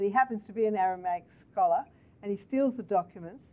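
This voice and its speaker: A dark, mellow tone pairs with fairly even intonation. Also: woman. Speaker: interviewer. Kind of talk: interview over video call. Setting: video call. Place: office.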